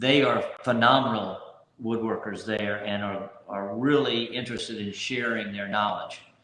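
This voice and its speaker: At a moderate pace, a man speaks in a medium pitch with fairly even intonation, and audible room echo surrounds his voice. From Louisiana. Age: 60s. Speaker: local businessman and soccer referee. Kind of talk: interview.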